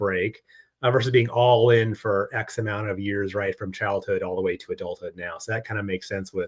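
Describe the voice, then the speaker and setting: Speaking at a fairly quick pace, a man with an American accent has a medium-pitched, somewhat breathy voice. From Arizona. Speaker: YouTube card collecting host. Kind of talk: casual chat interview.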